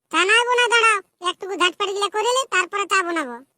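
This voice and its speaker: A woman in a cartoonish character voice squeaks at an extremely high pitch and a very fast pace, with lively intonation and a dry, close sound with no echo. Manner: sharp, scolding.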